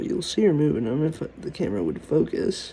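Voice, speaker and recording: The man's voice is quiet. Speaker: gaming and nature video creator. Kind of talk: casual vlog commentary. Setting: home at night, filming an insect.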